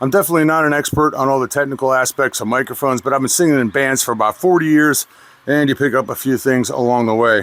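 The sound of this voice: A man talks at a fairly quick pace in a nasal voice with a fairly bright tone.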